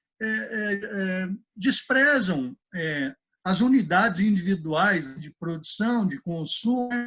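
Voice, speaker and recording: Using lively intonation, a man talks in a high pitch. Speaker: economist and economics professor. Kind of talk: interview. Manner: halting, many repetitions and fillers.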